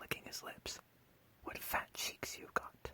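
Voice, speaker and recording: Someone whispers at a fairly slow pace. The tone is calm. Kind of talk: sleep story. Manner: whispered; soft-spoken, calm.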